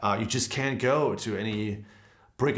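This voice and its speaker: A man with a German accent speaks in a fairly even intonation, with audible echo from the room. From Germany. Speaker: guitarist and guitar teacher. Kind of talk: live stream Q&A. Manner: casual, conversational.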